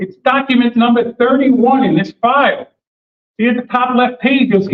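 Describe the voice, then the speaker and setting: This man's voice is loud and extremely high in pitch. He talks at a moderate pace. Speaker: attorney. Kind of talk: speech at community meeting. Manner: loud, projecting; animated.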